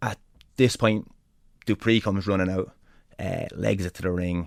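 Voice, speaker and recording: A man speaks with an Irish accent and ordinary pitch variation. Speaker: pro wrestler. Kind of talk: interview storytelling. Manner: animated; talkative.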